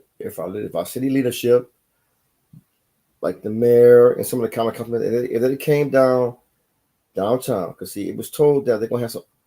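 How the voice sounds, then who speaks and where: A man's medium-pitched voice, dark and mellow in tone, with fairly even intonation and a fairly quick pace. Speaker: freemason lodge member, video blogger. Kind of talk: casual monologue. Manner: halting, pauses to find words.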